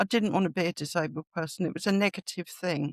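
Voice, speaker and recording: A woman's fairly low-pitched voice with a London accent and ordinary pitch variation, in a dry, close sound with no echo on a very clean recording with a silent background. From London, England. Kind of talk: interview conversation. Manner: halting.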